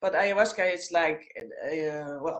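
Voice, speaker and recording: A woman with a Dutch accent at a very slow pace. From Netherlands, Amsterdam. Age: 50s. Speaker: former flight attendant, coaching client. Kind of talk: interview. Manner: halting.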